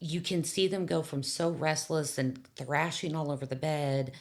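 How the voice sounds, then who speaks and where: This woman's voice sits at a very deep, low pitch, showing vocal fry and ordinary pitch variation. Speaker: hospice worker. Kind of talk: casual chat. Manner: loud.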